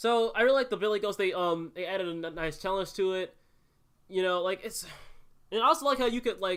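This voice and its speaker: Speech comes at a very fast pace with ordinary pitch variation, captured on a very clean recording with a silent background. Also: man. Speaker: gaming youtuber. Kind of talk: casual game discussion. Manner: halting, stumbling over words.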